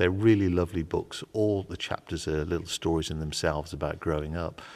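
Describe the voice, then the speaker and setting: The man's voice is very deep and low. He talks at a fairly quick pace. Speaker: interviewee. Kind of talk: interview answer.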